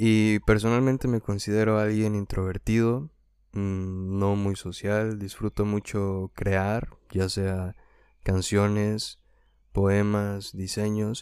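A man in a monotone, flat intonation on a very clean recording with a silent background. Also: fairly low pitch for a man. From Mexico, Hidalgo. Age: 20s. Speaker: singer-songwriter and student. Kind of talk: unscripted solo podcast introduction. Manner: unscripted, with some hesitations.

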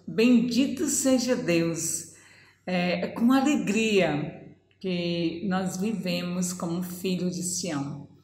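Amid audible room echo, a woman talks at a very slow pace with very wide pitch swings. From Brazil, Ceará (Northeast). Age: 50s. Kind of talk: testimony.

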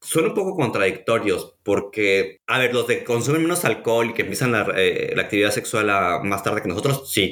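A man with a Mexican accent speaks at a medium pitch. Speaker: podcast host. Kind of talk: casual chat.

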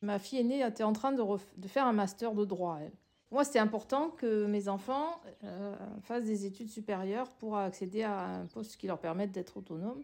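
Her voice sits at a medium pitch for a woman, moving at a moderate pace with ordinary pitch variation. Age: 60s. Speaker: sociologist and former social worker. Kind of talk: interview testimony. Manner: halting, many hesitations.

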